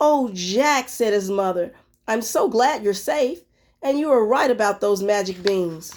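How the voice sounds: The speaker uses a natural reading voice with lively intonation. The background is quiet.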